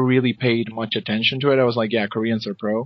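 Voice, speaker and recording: The speaker has a Spanish accent. The intonation is monotone and flat. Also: man. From Argentina, Buenos Aires. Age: 20s. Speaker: esports commentator and podcaster. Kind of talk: interview.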